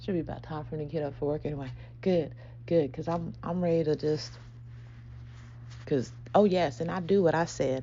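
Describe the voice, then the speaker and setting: Whispering at a fairly quick pace, a woman leaves long, frequent pauses amid audible room echo. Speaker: spiritual podcast host. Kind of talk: casual spiritual monologue. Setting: at home early morning. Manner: animated.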